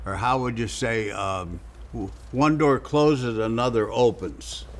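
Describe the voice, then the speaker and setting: A man speaks with a St. Louis accent. His pace is fairly slow. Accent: Midwestern American (St. Louis). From US Midwest, South St. Louis, Missouri. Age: 80s+. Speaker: real estate investor. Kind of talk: casual interview chat.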